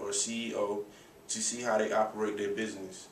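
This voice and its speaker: Light background noise and audible room echo accompany a man speaking at a moderate pace in a fairly low pitch. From US South, Raleigh, North Carolina; North Carolina. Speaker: college student. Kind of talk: class speech presentation. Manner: halting. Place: empty room. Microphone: camera far.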